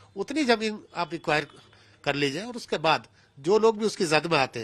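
A man's high-pitched, lively intonation at a moderate pace. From Haldwani, Uttarakhand; Uttarakhand, India. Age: 60s. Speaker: local resident and former public representative. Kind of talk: news interview. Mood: aggrieved, earnest. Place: home room. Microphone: handheld.

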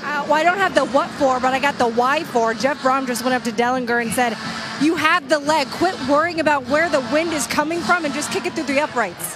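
A woman's high voice over background music, with ordinary pitch variation and a fairly quick pace. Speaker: sideline reporter. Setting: outdoors on the sideline, windy.

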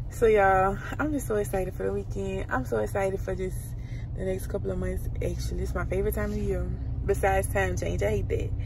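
A woman speaks at a very fast pace with a very deep, low pitch and very wide pitch swings. The sound is dry with no echo, with noticeable background noise. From Louisiana. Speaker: lifestyle vlogger. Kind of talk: casual vlog. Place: car. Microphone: phone near.

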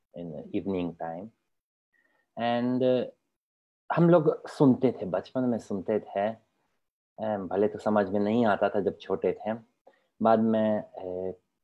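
In a Polish accent, the speaker talks at a very slow pace with long, frequent pauses. Pitch varies in an ordinary way against a quiet background. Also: man, fairly low pitch for a man. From Poland. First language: Polish (speaking Hindi). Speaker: Sanskrit scholar; guest. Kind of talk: interview. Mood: calm, reflective, earnest. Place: home room. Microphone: video call.

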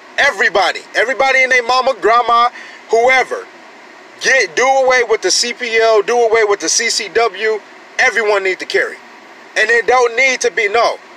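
With an American accent, a man projects a raised voice at an extremely high pitch, ordinary pitch variation, a dry sound with no echo and light background noise. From US. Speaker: gun-rights vlogger. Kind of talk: angry rant, fired-up gun-rights sermon. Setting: solo home video, talking to camera. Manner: loud, indignant, emphatic; fast, preachy, repeating points for emphasis. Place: car. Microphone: phone near.

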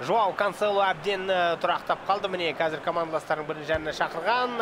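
A man talking at a fairly quick pace in an animated tone, with noticeable background noise. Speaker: esports commentator. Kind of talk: live commentary.

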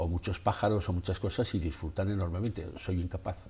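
Very deep and low, a man's somewhat breathy voice with a dark, mellow tone moves at a fairly quick pace. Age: 70s. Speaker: photographer; interviewee. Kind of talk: interview. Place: studio. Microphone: lapel.

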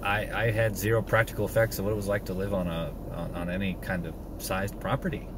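A man with a fairly low voice races at a very fast pace with fairly even intonation, recorded dry with no echo over noticeable background noise. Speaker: homesteading vlogger. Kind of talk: casual vlog chat. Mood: reflective, personal. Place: car. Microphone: phone near.

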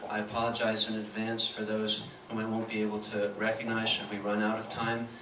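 Over noticeable background noise, a man speaks at a moderate pace in a fairly low voice with monotone, flat intonation. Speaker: moderator, history professor. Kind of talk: event moderation announcement. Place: hall.

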